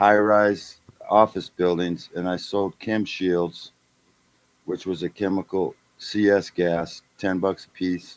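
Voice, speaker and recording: Very slow, monotone delivery with flat intonation comes through in a dry, close sound with no echo. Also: man, very deep, low pitch for a man. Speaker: former salesman. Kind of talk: casual chat.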